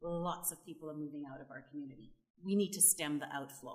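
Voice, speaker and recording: This is a woman speaking. She has a Canadian accent. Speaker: panelist on rural development. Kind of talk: panel discussion. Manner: animated.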